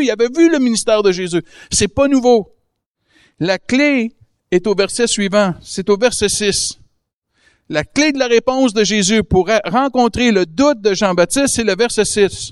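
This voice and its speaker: This man has a high pitch and ordinary pitch variation, moving at a fairly slow pace. The background is quiet and the sound is dry and close, with no echo. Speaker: guest preacher. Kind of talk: sermon. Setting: church service with audience.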